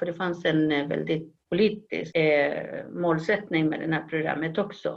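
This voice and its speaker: A woman with a Spanish accent, fairly low in pitch, at a moderate pace with fairly even intonation. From Chile. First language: Spanish (speaking Swedish). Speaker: professor of human geography. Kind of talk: interview. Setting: video call.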